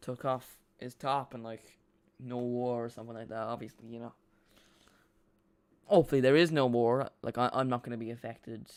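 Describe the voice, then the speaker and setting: A man with an Irish accent speaks at a fairly quick pace and medium pitch, with fairly even intonation. His delivery has long, frequent pauses and big swings in loudness. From Ireland. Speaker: football fan streamer. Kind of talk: live watch-along commentary. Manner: casual, halting.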